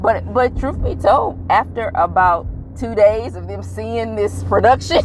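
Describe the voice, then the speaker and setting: The delivery is animated and fairly slow, with big swings in loudness. Music plays in the background. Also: woman. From United States. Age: 40s. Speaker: traveler. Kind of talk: casual chat.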